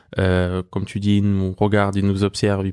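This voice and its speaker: A man rattles off words at a very fast pace in a dark, mellow tone, fairly low in pitch and monotone and flat in intonation. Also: dry, close sound with no echo, very clean recording, silent background. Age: 30s. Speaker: professional basketball player. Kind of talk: interview. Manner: hesitant, many fillers.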